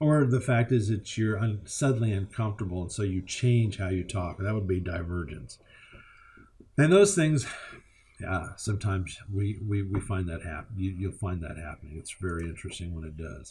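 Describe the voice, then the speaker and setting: A man's fairly low, dark, mellow voice, somewhat breathy, with lively intonation at a moderate pace. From Kentucky. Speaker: college instructor. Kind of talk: lecture. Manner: halting, many fillers and repetitions.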